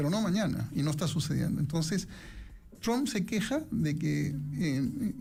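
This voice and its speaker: A man's fairly high, dark, mellow voice with vocal fry, lively intonation and a moderate pace, in audible room echo. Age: 60s. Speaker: economics professor and investment commentator. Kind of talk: radio interview.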